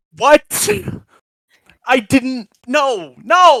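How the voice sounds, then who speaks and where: A high-pitched, put-on character voice. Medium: actual play. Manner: flustered.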